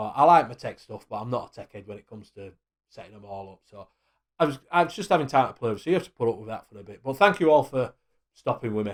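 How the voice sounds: With a Yorkshire accent, a man of medium pitch talks at a fast pace with lively intonation.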